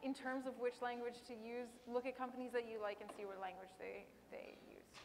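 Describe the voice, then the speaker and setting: Here a woman talks at a fairly quick pace. Her voice sits high, with fairly even intonation. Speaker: tech professional on panel. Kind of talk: panel Q&A. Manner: fast.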